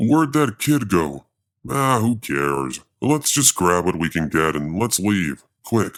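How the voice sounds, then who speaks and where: Using a put-on character voice, a man talks at a fairly slow pace with very deep, low pitch and very wide pitch swings. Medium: read story.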